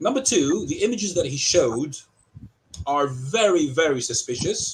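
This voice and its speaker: A man with a British accent speaks at a moderate pace in a fairly high pitch. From England, Southampton. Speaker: accused party in an arbitration. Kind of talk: heated debate. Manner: animated.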